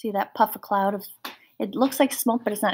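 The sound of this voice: This woman speaks at a medium pitch with a fairly bright tone and some vocal fry.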